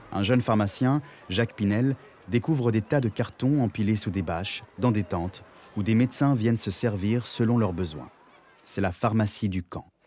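A plain, everyday voice from a man, fairly low in pitch, moderate pace, ordinary pitch variation. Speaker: voice-over narrator, stage actor. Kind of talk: documentary narration.

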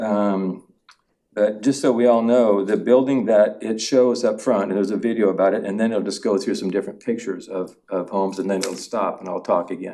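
Speaking with an American accent, a man keeps a fairly quick pace, fairly even intonation and a dark, mellow tone. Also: fairly low pitch for a man. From Oregon. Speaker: property developer. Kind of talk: public testimony. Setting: public meeting hall. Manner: halting, many fillers and repeats.

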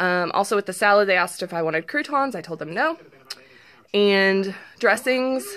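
A woman's bright, sharp tone with lively intonation at a moderate pace. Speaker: vlogger. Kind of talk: casual vlog chat. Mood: upbeat, pleased. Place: home room. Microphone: phone near.

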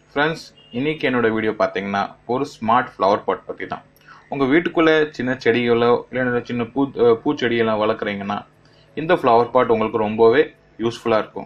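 With a non-native accent, this man talks using ordinary pitch variation. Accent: non-native Tamil. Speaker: tech gadget reviewer. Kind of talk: product demo talk to camera. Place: home room. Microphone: phone near.

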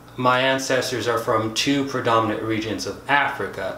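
Audible room echo and light background noise surround a man talking at a fairly slow pace with fairly even intonation. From United States. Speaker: science YouTuber. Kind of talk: educational video monologue. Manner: casual, conversational. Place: home room.

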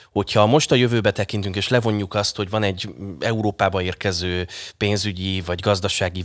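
Quick-ish delivery comes from a man at a fairly quick pace. His pitch is very deep and low, over a quiet background. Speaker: radio host; radio host, interviewer. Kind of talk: casual chat. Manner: animated. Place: studio. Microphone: studio mic.

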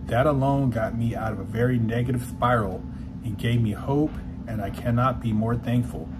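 Amid noticeable background noise, a man talks at a moderate pace. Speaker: motivational YouTuber and life coach. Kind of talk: monologue vlog with merch plug and reading a fan message. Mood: calm, sincere. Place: home room. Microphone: lapel.

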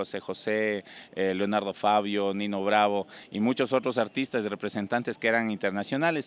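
A man's fairly quick speech with fairly even intonation, dry and without echo. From Ecuador, Loja (El Cisne); Ecuador. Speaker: singer; interviewee. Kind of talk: interview. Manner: halting. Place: street. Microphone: handheld.

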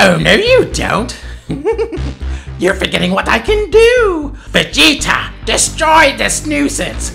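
In a put-on character voice, the speaker goes at a fairly slow pace over clear music in the background. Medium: dub. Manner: gloating, taunting.

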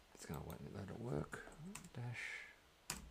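This man talks with an Australian accent. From Australia, New South Wales. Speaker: video game streamer. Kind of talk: live gameplay stream chat. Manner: casual, hesitant with many fillers.

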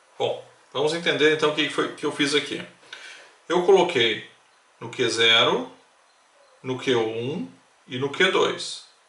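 With long, frequent pauses at a very slow pace, a man with a fairly high pitch and lively intonation speaks amid noticeable background noise and audible room echo. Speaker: electronics tutorial youtuber. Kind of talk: tutorial.

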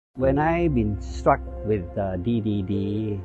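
The pitch swings very widely from line to line. The sound is dry with no echo, and clear music plays in the background. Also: man. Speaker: customer testimonial. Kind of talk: testimonial interview answer. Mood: earnest, motivational. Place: garden. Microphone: lapel.

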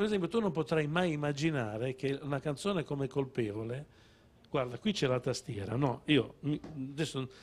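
A man's unremarkable speaking voice, fairly high in pitch, with lively intonation and a moderate pace. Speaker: songwriter; guest. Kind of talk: casual chat. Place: studio. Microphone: handheld.

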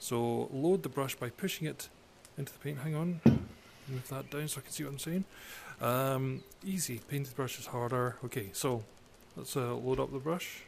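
A man with a Scottish accent, somewhat breathy and calm in a relaxed tone, at a moderate pace with long, frequent pauses, big swings in loudness, and light background noise. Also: ordinary pitch variation. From Scotland. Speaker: gamer channel host. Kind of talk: casual gameplay commentary to camera. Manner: calm, relaxed. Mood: relaxed, lightly joking. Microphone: headset.

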